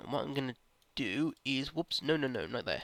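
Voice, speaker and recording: The man's tone is bright and sharp, his intonation fairly even and his pace fairly slow. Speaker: gaming YouTuber. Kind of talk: let's play commentary. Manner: low energy sounding.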